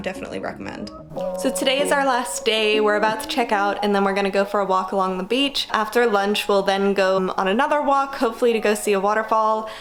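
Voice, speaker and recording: Very fast, fairly high speech from a woman with hardly any pauses and ordinary pitch variation, over noticeable background noise. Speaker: travel vlogger. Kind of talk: travel vlog narration. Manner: casual.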